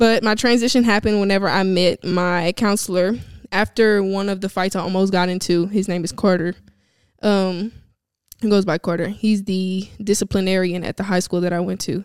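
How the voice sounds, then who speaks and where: A woman with a Louisiana accent speaks in a monotone, flat way. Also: medium pitch for a woman, moderate pace. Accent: Southern US (Louisiana). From Louisiana, US South. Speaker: podcast host. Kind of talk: solo personal monologue.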